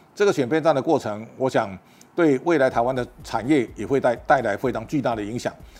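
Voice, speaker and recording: A man at medium pitch, fairly quick pace and ordinary pitch variation. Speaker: political and economic commentator. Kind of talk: solo commentary monologue. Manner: halting, with repeated words and fillers.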